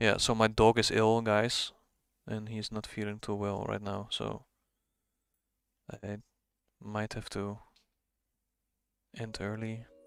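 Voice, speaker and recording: With a strong Dutch accent, a man speaks in a fairly low, monotone, flat voice at a very slow pace with long, frequent pauses, in a very clean recording with a silent background. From Netherlands. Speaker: forex trader streaming live. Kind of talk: live trading stream, casual commentary. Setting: live stream.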